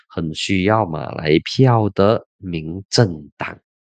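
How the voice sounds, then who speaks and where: A man's fairly low voice with lively intonation, dry with no echo, in a quiet background. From Malaysia. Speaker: political commentator and podcast host; political commentator, podcast host. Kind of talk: solo political commentary. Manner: casual, animated. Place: studio. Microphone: studio mic.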